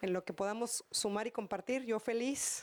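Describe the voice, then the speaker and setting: The speaker is a woman with ordinary pitch variation. Her pace is fairly slow. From northeastern Mexico. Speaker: conference keynote speaker. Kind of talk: Q&A answer at conference. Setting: conference hall with audience. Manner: halting, many repetitions.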